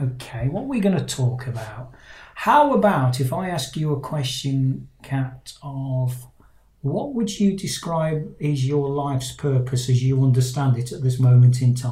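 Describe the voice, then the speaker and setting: A man with a British accent speaks fairly slowly in a dark, mellow, somewhat breathy tone. His pitch moves in an ordinary way. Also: medium pitch for a man. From Britain. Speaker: life coach and podcast host. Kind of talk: casual interview chat. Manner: halting, many fillers and repeats.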